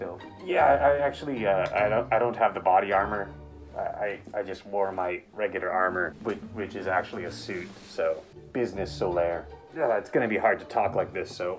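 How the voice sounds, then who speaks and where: A man's fairly low voice at a fairly quick pace, with ordinary pitch variation and clear music playing behind him. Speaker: father vlogger. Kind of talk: casual vlog chat. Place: home room. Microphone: webcam.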